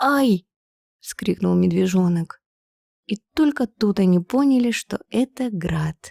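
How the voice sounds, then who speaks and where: A woman speaks quietly and at a very slow pace, her medium-pitched voice calm, dark and mellow. The sound is dry and close with no echo, in a very clean recording with a silent background. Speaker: professional narrator. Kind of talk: bedtime story reading. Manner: calm, quiet.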